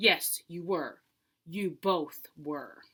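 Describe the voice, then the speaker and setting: A woman performs a put-on character voice. She growls at a fairly low pitch. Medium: read story. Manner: stern, forceful.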